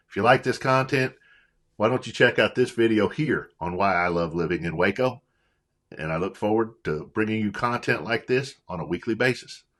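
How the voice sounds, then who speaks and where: Against a quiet background, the speaker uses lively intonation with a Western Kentucky accent. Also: man, fairly low pitch for a man, moderate pace. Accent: Western Kentucky accent, taken for East Texas. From Western Kentucky / Illinois. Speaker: real estate agent, vlogger. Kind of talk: casual vlog talk to camera.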